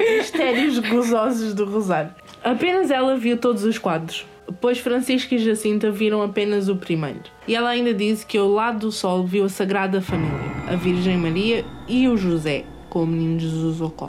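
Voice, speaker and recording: A woman speaks at a medium pitch with lively intonation and a moderate pace. Music plays in the background. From Portugal, Alentejo. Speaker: podcast host. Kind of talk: casual chat. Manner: animated.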